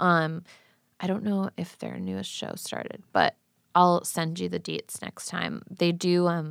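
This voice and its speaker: A woman with an unremarkable speaking voice, fairly low in pitch, at a moderate pace, dry and close with no echo. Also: very clean recording, silent background. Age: 20s. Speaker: painter. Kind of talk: casual chat.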